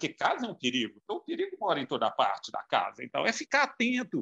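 A man's raised, projected voice races at a very fast pace with very wide pitch swings and a bright, sharp tone, the sound dry and close with no echo. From Minas Gerais, Brazil (João Monlevade). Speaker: marketing and communications professional. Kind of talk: casual interview chat. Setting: remote call.

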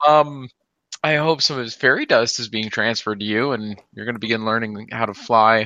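Against a quiet background, a man with a bright, sharp tone talks at a fairly quick pace with fairly even intonation. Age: 20s. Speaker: podcast guest. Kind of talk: casual chat.

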